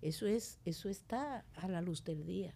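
On a very clean recording with a silent background, a woman speaks in a plain, everyday voice at a fairly slow pace, with ordinary pitch variation. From Dominican Republic, La Vega countryside. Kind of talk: interview conversation.

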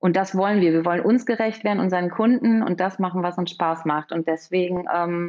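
An unremarkable speaking voice at a moderate pace. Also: woman. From Münster, Germany. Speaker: architect, firm co-owner. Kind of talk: podcast interview.

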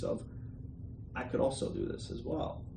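A man talks amid noticeable background noise, with audible room echo around his words. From Bosnia and Herzegovina. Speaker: entrepreneur. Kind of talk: interview. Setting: office. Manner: hesitant, many fillers.

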